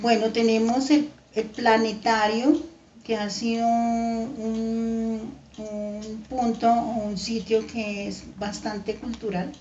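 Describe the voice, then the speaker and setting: Very slow speech with long, frequent pauses, big swings in loudness and audible room echo. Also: woman. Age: 70s. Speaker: grandparent interviewed for school project. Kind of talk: interview answers. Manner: halting, many fillers.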